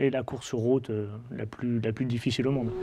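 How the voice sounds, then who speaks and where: A man of medium pitch talks with fairly even intonation at a moderate pace. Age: 30s. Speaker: motorcycle road racer. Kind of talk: interview. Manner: hesitant, many fillers.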